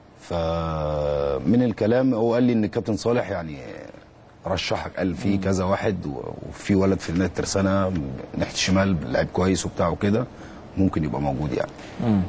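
Amid noticeable background noise, a man with a very deep, low voice talks at a moderate pace with lively intonation. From Egypt. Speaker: former footballer and youth coach; guest. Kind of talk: interview; interview answer. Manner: halting, with repeated words. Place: studio. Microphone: lapel.

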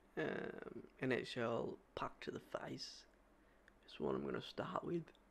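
A man speaks with an Australian accent at a fairly slow pace. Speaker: sports reaction youtuber. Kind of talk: casual reaction video talk to camera. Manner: upbeat, casual. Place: home room. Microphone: studio mic.

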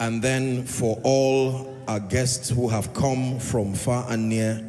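Light background noise sits behind this man's voice. His intonation is monotone and flat. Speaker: preacher. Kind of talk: sermon welcome and address. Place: hall. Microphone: handheld.

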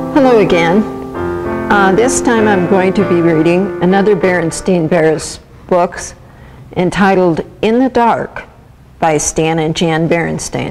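A woman's fairly low voice at a fairly slow pace, with ordinary pitch variation, very even loudness and long, frequent pauses over music in the background. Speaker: storybook reader. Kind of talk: reading a children's book aloud. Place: church.

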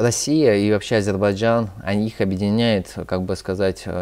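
Speaking at a fairly slow pace, a man uses a fairly low pitch and fairly even intonation. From Moscow, Russia; Russia. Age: 20s. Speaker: youth activist; guest. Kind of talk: interview. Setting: studio. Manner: halting, many fillers. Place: studio.

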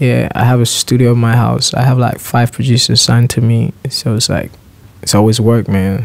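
A man's flat, monotone delivery at a moderate pace, with very even loudness throughout. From Nigeria. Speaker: singer. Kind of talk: interview answer. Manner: calm, relaxed. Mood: relaxed, laid-back.

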